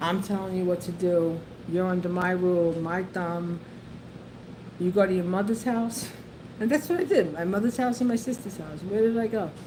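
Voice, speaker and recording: With noticeable background noise, a woman in a New York accent talks at a moderate pace and medium pitch, her tone animated and her pitch variation ordinary. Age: 60s. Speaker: YouTuber, retired civil service worker. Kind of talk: casual storytelling livestream. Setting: livestream. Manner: halting, repetitive.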